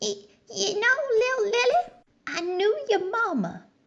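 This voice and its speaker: Using a put-on character voice, a woman speaks fairly slowly at an extremely high pitch. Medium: audio drama. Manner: halting, rambling.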